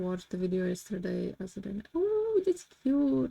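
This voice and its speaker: Speaking at a fairly slow pace, a woman with a Polish accent keeps to a medium pitch. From Poland. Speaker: streamer. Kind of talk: casual chat.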